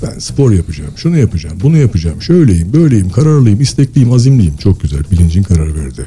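Backed by music, a man with a fairly low voice speaks with hardly any pauses and very wide pitch swings. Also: fairly quick pace. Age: 40s. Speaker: engineer and author. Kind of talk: casual interview. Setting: live broadcast.

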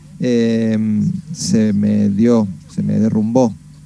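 A man with lively intonation, against noticeable background noise. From Argentina, Mendoza. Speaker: musician. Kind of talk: radio interview. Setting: video call.

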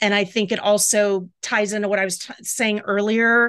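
A woman with an American accent speaks at a medium pitch and a moderate pace in an unremarkable speaking voice. The background is quiet. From US South, Jacksonville, Florida. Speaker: storyteller, cancer patient. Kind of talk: personal story and casual interview chat.

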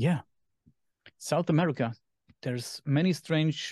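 A man speaks at a fairly quick pace with a German accent and a dark, mellow tone, the sound dry and close with no echo over a quiet background. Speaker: podcast host. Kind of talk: casual chat.

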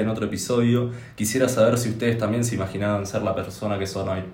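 Heard with audible room echo, a man talks at a very fast pace and fairly low pitch, his intonation monotone and flat. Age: 20s. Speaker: podcast co-host. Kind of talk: casual chat.

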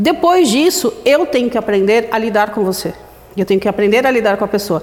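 A fairly high-pitched woman's voice at a fairly quick pace, with noticeable background noise. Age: 40s. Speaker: photographer. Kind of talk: interview. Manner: talkative.

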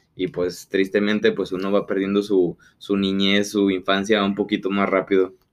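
Speaking at a moderate pace with a Mexican accent, a man holds a fairly low pitch in a flat, monotone delivery. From rural Mexico. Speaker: podcast co-host. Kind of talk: casual chat.

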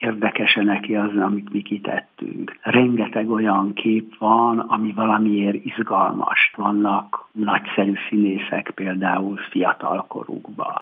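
A man talks at a very slow pace with hardly any pauses, his intonation monotone and flat. Noticeable background noise runs behind him. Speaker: press photographer and exhibition curator. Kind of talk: radio interview.

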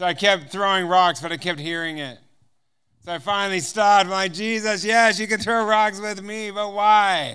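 A man with an American accent talks in a raised, projected voice, animated in tone, bright and sharp, at a high pitch for a man. The recording is very clean, with a silent background. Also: ordinary pitch variation, moderate pace. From US West Coast. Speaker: missionary guest speaker. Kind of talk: sermon with personal testimony. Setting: church service before a congregation.

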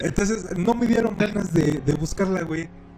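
This man speaks with a Mexican accent at a moderate pace. Noticeable background noise runs underneath. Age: 20s. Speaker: podcast host. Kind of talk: casual chat.

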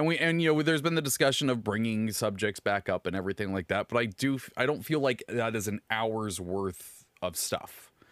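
Recorded dry and close with no echo, a man of medium pitch talks at a fairly quick pace with lively intonation and hardly any pauses. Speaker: podcast host. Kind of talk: casual chat. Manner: loud.

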